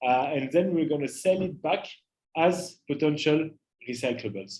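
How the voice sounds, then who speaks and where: Speaking with a strong French accent, a man has a fairly high pitch. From France, Paris. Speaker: climate entrepreneur. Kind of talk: interactive talk to students. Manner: hesitant, many filler uhs.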